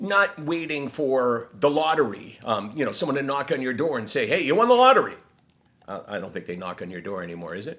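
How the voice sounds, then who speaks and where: This man's fairly high voice makes very wide pitch swings and big swings in loudness at a fairly quick pace. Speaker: mental health advocate, vlogger. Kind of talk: casual talk to camera. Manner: fast.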